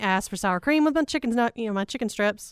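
A woman talks at a very fast pace with a fairly high voice. The sound is dry and close, with no echo. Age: 30s. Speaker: radio host. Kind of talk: casual chat. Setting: studio.

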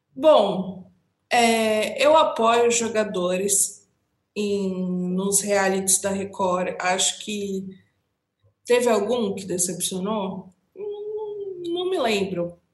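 A woman speaks very slowly, with audible echo from the room. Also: medium pitch for a woman, ordinary pitch variation. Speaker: entertainment podcast co-host. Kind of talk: casual chat.

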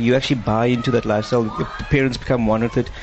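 A man at a very fast pace in a medium-pitched voice, with noticeable background noise. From Eastern Cape, South Africa. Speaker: parent of karate athletes. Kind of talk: live interview.

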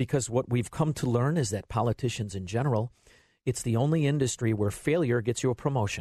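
Over a quiet background, a man talks at a fairly quick pace in a dark, mellow, somewhat breathy tone, at medium pitch with ordinary pitch variation. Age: 50s. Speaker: fill-in radio host. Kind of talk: talk radio. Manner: animated.

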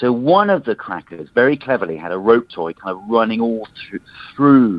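The man's intonation is lively. He talks at a moderate pace with a medium pitch. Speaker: journalist. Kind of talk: casual chat. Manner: halting.

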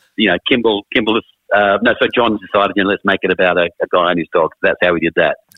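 Talking at a very fast pace with an Australian accent, a man keeps his loudness very even. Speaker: rock musician. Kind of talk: casual chat.

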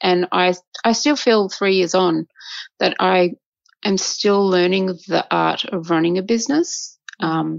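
Speaking with an Australian accent at a fairly slow pace, a woman uses a medium pitch with ordinary pitch variation. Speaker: violinist and conductor. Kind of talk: casual interview chat.

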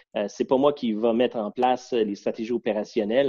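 A man with a Quebec accent, ordinary pitch variation and a quiet background. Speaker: businessman, board chairman. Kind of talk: interview.

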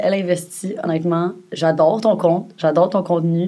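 A woman speaks with a Quebec accent at a medium pitch. Her pace is moderate. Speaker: podcast co-host. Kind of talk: casual chat.

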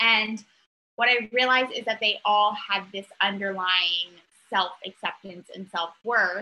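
A woman talks at a fairly slow pace with a bright, sharp tone. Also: medium pitch for a woman, fairly even intonation. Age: 30s. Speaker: mental health advocate. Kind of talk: casual interview chat.

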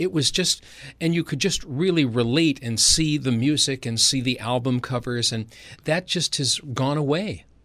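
This man has an unremarkable speaking voice, fairly high in pitch with ordinary variation, at a moderate pace. The recording is very clean, with a silent background. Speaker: radio DJ. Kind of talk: interview.

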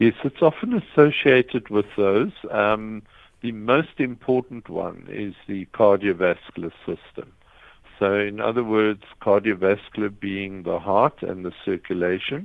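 A man with a fairly low pitch and an unremarkable speaking voice, at a fairly slow pace. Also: ordinary pitch variation. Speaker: psychiatrist. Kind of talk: expert interview. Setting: phone call.

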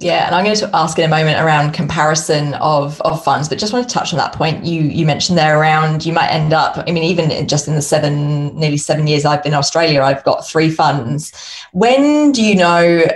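Delivered at a fairly quick pace with hardly any pauses, the speech has ordinary pitch variation and very even loudness, with noticeable background noise. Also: woman, very deep, low pitch for a woman. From United Kingdom. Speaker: consultant and podcaster, former accountant. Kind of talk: casual interview chat.

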